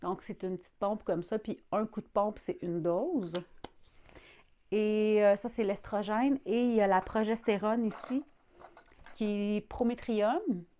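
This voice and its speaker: A dark, mellow voice in a Quebec accent, fairly slow, with long, frequent pauses, big swings in loudness and ordinary pitch variation. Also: woman, fairly high pitch for a woman. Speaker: vlogger. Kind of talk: personal video diary. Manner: casual, hesitant with fillers.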